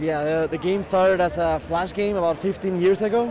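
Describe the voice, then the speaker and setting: Over noticeable background noise, a man with a high pitch for a man talks at a fairly quick pace with fairly even intonation. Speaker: indie game developer. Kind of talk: interview. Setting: convention show floor.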